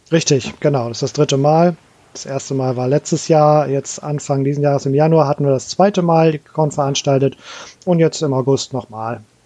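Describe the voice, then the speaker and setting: A normal speaking voice moves at a moderate pace. Its intonation stays fairly even. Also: man, fairly high pitch for a man. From Hamburg, northern Germany. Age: 40s. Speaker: game designer. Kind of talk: casual chat.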